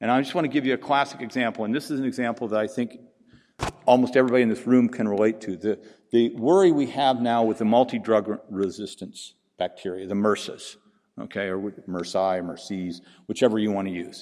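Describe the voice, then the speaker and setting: With a Pacific Northwest accent, a man talks at a medium pitch. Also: ordinary pitch variation, fairly quick pace. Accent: Pacific Northwest American. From US Pacific Northwest. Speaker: veterinary researcher and conference speaker. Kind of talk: conference lecture. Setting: conference stage with audience. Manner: informal, humorous.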